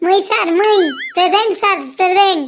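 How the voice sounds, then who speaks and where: Extremely high and squeaky, a put-on character voice speaks at a moderate pace. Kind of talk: rustic dialect. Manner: mocking, exaggerated.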